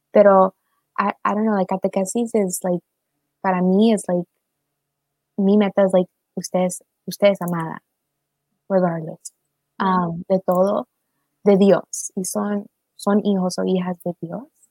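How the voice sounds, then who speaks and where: A woman speaks slowly in a monotone, flat voice at medium pitch, with long, frequent pauses. Her tone is dark and mellow, and the sound is dry and close with no echo. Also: big swings in loudness. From Maryland, US, Salvadoran and Ecuadorian parents. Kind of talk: casual livestream conversation.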